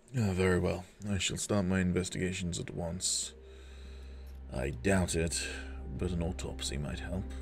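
Against clear background noise, a man in a gravelly, put-on character voice speaks at a very deep, low pitch and a moderate pace, with long, frequent pauses. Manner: grave, analytical.

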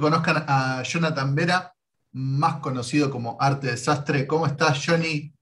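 With ordinary pitch variation, a man speaks at a fairly high pitch and a fairly slow pace in a somewhat breathy voice. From Argentina. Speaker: YouTube interviewer, comic artist. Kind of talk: casual interview. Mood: friendly, enthusiastic. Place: home room. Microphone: video call.

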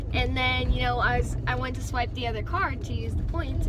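A woman speaks at a fairly quick pace over loud background noise. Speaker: vlogger. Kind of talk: casual vlog chat. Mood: playful, mildly annoyed. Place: car. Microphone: phone near.

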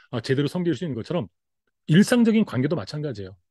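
A man's dark, mellow tone with very wide pitch swings, dry with no echo, against a quiet background. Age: 50s. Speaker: pastor and reading educator; pastor, reading educator. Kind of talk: talk-to-camera lecture. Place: home room. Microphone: webcam.

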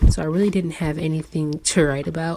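A woman speaks with a very deep, low pitch. Her intonation is monotone and flat. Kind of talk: casual journaling voice-over.

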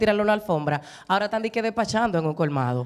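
A woman with a fairly high pitch talks very fast with lively intonation. The background is quiet. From Dominican Republic, San Pedro de Macorís; Dominican Republic. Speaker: broadcaster and voice-over artist; talk show panelist. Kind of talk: casual chat. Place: studio. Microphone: handheld.

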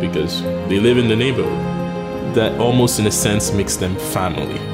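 A man speaks at a moderate pace. Loud music plays in the background. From Haiti. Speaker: restaurant co-owner. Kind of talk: documentary interview answer. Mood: warm, reflective. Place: cafe. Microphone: lapel.

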